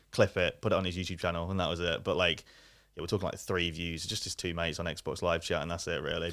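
In an East Midlands accent, a man with a very deep, low pitch speaks at a very fast pace in a flat monotone, recorded very cleanly against a silent background. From Leicester, England. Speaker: YouTuber. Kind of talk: casual chat.

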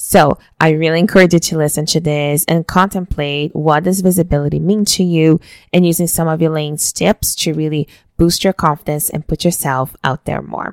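A woman with a Brazilian accent speaks at a moderate pace in a very deep, low pitch, her intonation fairly even. The sound is dry and close with no echo, on a very clean recording with a silent background. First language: Portuguese. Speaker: podcast host, weight loss coach. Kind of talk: interview conversation. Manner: talkative.

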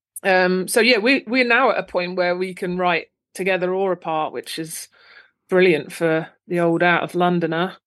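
Against a quiet background, a woman speaks at a moderate pace and medium pitch, with ordinary pitch variation. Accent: southern English. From England, Luton, Bedfordshire. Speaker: actor and improviser. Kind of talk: casual chat.

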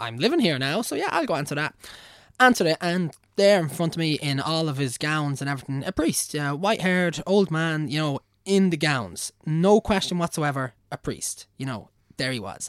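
Fairly high pitch from a man with a Meath accent, lively intonation and a moderate pace, in a dry, close sound with no echo on a very clean recording with a silent background. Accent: Irish, Navan. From Ireland (Navan). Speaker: engineer. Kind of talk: casual chat. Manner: animated, casual, profane.

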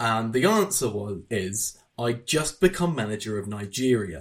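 This is a man's voice. It sounds somewhat breathy. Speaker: podcast host. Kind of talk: casual chat.

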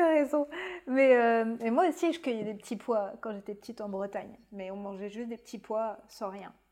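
A woman has an unremarkable speaking voice with fairly high pitch. She talks at a moderate pace with lively intonation. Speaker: podcast host interviewer. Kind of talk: casual interview chat.

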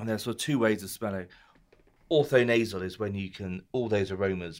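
With a British accent, a man speaks at a fairly quick pace. His pitch sits fairly low. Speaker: wine columnist and co-host. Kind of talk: casual chat. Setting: pub.

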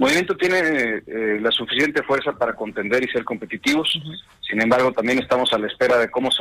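Through noticeable background noise, the speech runs at a very fast pace with ordinary pitch variation. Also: man. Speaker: politician. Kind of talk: interview.

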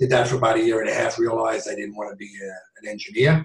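This man has an American accent and a medium pitch. A somewhat breathy quality marks his voice. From New York. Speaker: real estate investor, former police officer. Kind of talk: interview.

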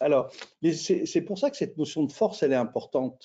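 A man talks at a moderate pace. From France. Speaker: intercultural management consultant. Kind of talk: webinar interview. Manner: halting, many repetitions and fillers.

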